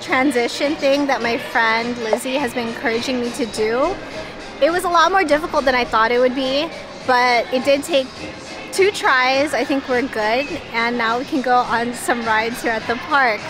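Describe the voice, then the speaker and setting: Clear music plays behind a woman speaking at a moderate pace in a high pitch. Her pitch varies in an ordinary way, and the sound is dry with no echo. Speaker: theme park vlogger. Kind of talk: casual vlog chat. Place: street. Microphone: phone near.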